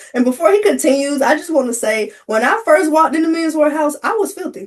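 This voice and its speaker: A woman talks at a fairly quick pace with lively intonation. There is noticeable background noise. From US South, Covington, Tennessee. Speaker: creative entrepreneur, arts and crafts. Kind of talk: casual interview chat.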